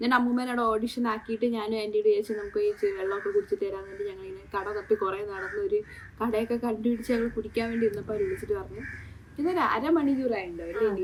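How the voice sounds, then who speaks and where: Her pitch is high and swings very widely. The speaker is a woman. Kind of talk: casual vlog talk to camera. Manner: excited, happy.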